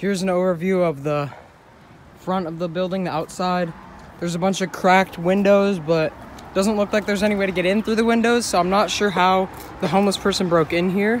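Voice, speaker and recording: A high-pitched man at a fairly quick pace, fairly even in intonation, with a dry sound with no echo and light background noise. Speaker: vlogger. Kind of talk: casual vlog chat. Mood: a bit wary of getting caught. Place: street. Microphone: phone near.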